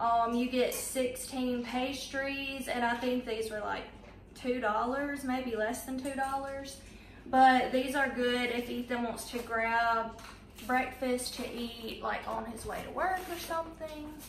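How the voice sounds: A woman speaks at a slow pace, her pitch fairly high and her intonation fairly even. Room echo is audible.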